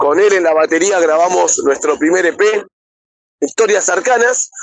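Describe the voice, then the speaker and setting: A man with an Argentine accent talks at a fairly slow pace with ordinary pitch variation. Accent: Rioplatense Argentine Spanish. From Buenos Aires, Argentina. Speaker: rock singer. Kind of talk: interview. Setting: remote call via messaging app.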